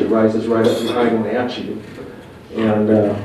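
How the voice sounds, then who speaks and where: There's noticeable background noise and audible room echo. A man with an American accent speaks at a moderate pace. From US Pacific Northwest. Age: 50s. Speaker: Bigfoot researcher. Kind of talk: presentation. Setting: museum hall with audience. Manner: loud.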